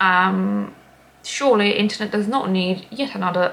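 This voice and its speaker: With a Latvian accent, a woman talks at a fairly slow pace in a medium pitch. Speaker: craft podcaster. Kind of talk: casual chat. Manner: hesitant, many ums.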